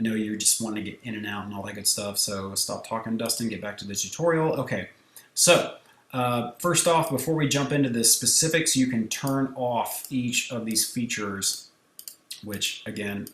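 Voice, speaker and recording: The man's voice sits at a medium pitch with ordinary variation, and noticeable background noise is present. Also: moderate pace. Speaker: photographer and software tutorial creator. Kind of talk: tutorial. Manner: casual, conversational.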